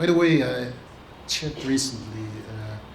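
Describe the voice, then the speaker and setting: Over noticeable background noise, a man speaks fairly slowly with a Russian accent. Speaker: diplomat, ambassador. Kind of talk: public talk.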